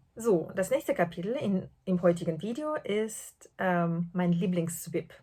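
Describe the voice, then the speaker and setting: A woman with a non-native accent speaks at a very slow pace in a dark, mellow, somewhat breathy voice. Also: medium pitch for a woman, lively intonation. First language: not German (speaking German). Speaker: podcast host, translator and knitter. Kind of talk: casual podcast monologue. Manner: hesitant, many fillers.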